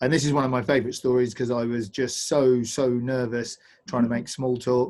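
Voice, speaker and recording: In a southern English accent, the speaker moves at a fairly quick pace with fairly even intonation. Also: man. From England, Bedford. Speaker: paddling instructor and adventure company owner. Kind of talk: online presentation. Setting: video call.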